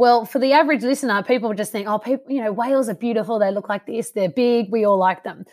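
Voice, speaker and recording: A woman with an Australian accent talks at a fairly quick pace, hardly pausing, her pitch fairly high with ordinary variation. The recording is very clean and the background silent. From Canberra area, Australia. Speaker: wildlife scientist. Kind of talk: casual interview.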